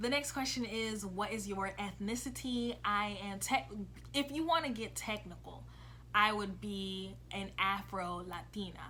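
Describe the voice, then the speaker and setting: Audible room echo surrounds a woman with an American accent who speaks in an animated tone. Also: fairly slow pace. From US, early childhood in Brazil. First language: Portuguese. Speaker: vlogger. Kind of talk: casual vlog talk.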